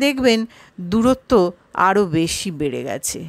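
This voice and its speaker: A woman speaks with lively intonation in a very clean recording with a silent background. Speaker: audio story narrator. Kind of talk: horror story audiobook narration.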